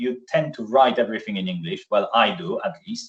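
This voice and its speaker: In a Polish accent, a man talks at a moderate pace with a fairly high pitch and vocal fry. His pitch swings very widely over a quiet background. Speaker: software solution architect; presenter. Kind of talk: webinar presentation. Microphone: video call.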